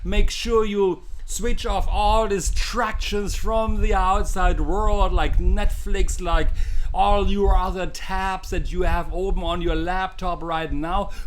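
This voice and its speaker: A man with a German accent speaks at a very slow pace. Audible room echo and noticeable background noise fill the recording. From Germany. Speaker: mind coach and hypnotherapist. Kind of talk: live-streamed coaching session. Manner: animated; halting.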